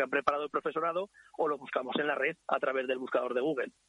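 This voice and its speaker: A man's fairly high voice at a very fast pace. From Ricla, Aragon, Spain. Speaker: school headteacher. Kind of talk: interview. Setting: phone call.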